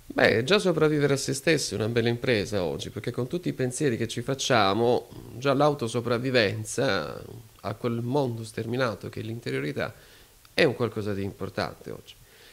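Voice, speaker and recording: Vocal fry runs through a man's speech, delivered at a fairly quick pace with lively intonation. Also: medium pitch for a man. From Apulia, Foggia; Apulia. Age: 30s. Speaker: philosopher; interview guest. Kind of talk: interview. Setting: club venue. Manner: formal. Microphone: handheld.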